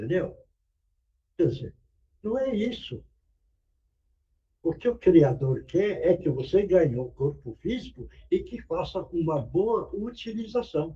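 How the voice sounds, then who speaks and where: Speaking at a very slow pace, a man leaves long, frequent pauses. His high pitch makes very wide swings, and his tone is dark and mellow. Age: 80s+. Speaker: spiritist meeting speaker. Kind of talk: sermon.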